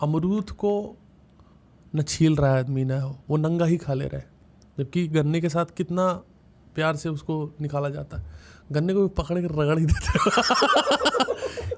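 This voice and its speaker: A man with a North Indian accent speaks at a fairly high pitch with ordinary pitch variation. Long pauses come often. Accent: desi, North Indian. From India, Uttar Pradesh. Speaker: stand-up comedian. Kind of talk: podcast interview answer. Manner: humorous, storytelling.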